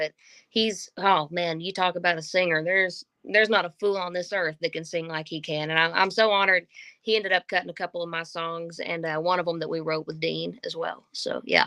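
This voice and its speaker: In a Southern US accent, a woman speaks fairly quickly in a fairly low voice with a bright, sharp tone and monotone, flat intonation, recorded with a dry, close sound with no echo. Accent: Southern American. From Oklahoma and Texas, USA. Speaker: singer-songwriter. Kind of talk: interview answer.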